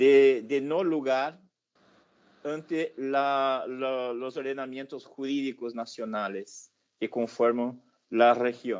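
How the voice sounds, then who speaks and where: A man's medium-pitched voice with a Brazilian accent, at a very slow pace against a quiet background. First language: Portuguese (speaking Spanish). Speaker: professor. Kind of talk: lecture. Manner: hesitant, with fillers.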